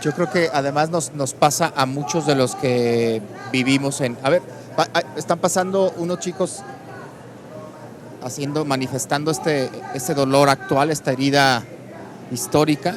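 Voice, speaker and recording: A man with a fairly high voice leaves long, frequent pauses amid noticeable background noise. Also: ordinary pitch variation, fairly slow pace. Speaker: talk show host. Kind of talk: panel discussion. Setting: book fair broadcast set.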